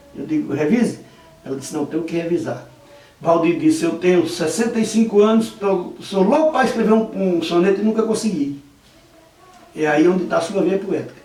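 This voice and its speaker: A man speaks at a moderate pace, high in pitch with lively intonation. The room echo is audible and the background noise is noticeable. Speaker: videomaker and poetry enthusiast. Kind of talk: interview.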